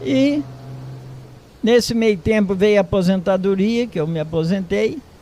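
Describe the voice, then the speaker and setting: Over noticeable background noise, a man talks at a fairly slow pace in a high pitch. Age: 80s+. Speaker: retired farmer. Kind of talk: interview.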